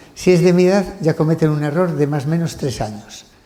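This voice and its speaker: Noticeable background noise and audible room echo surround the voice. A man talks at a moderate pace with ordinary pitch variation. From Spain. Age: 60s. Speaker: genetics professor. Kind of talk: lecture. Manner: halting; animated.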